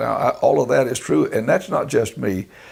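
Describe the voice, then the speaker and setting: A man with a North Carolina accent talks at a moderate pace. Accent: Southern US (North Carolina). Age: 70s. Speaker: retired broadcasting executive. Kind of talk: oral history interview. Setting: recorded interview with photographer present. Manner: halting, many fillers.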